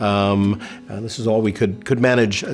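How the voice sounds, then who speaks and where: With an American accent, a man speaks at a fairly quick pace and fairly low pitch, with fairly even intonation over noticeable background noise. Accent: American, noticeable in England. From New York City. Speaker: distillery founder and CEO. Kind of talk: virtual tasting presentation. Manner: halting, many fillers.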